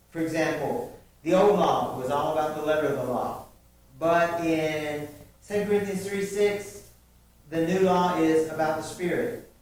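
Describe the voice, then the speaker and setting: Audible room echo hangs over the audio, along with noticeable background noise. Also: man. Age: 60s. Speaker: preacher. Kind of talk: sermon. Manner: conversational with fillers.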